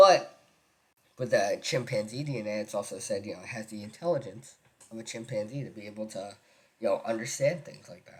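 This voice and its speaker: A man speaks at medium pitch in a somewhat breathy voice. His pitch varies in an ordinary way. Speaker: gaming video creator. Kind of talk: casual commentary. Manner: halting, many fillers.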